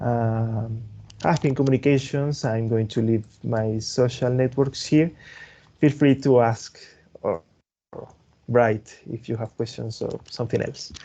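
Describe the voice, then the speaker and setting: With a Spanish accent, a man speaks at medium pitch in a dark, mellow tone, using fairly even intonation at a fairly slow pace with long, frequent pauses. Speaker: tech presenter, developer advocate. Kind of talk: webinar closing remarks. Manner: halting, repeats words.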